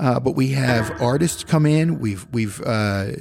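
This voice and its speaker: An ordinary speaking voice from a man with an American accent, medium in pitch, with lively intonation and a fairly slow pace. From Philadelphia. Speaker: college radio station manager and professor. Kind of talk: casual interview.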